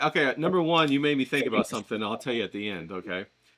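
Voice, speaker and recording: Talking at a fairly quick pace, a man with a fairly high voice makes very wide pitch swings. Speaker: podcast host. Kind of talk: casual interview talk. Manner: upbeat, enthusiastic.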